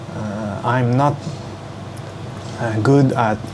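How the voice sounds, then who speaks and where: Over noticeable background noise and audible room echo, a man at medium pitch speaks very slowly in a monotone, flat intonation. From Hong Kong. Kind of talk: casual vlog to camera. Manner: halting, many fillers.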